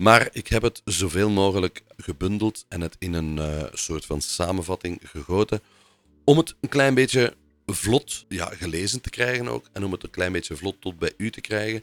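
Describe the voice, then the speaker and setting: A man with an unremarkable speaking voice and a fairly low pitch talks at a moderate pace with lively intonation. The sound is dry and close with no echo. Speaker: podcast host. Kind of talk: podcast episode with scripted narration and phone interview.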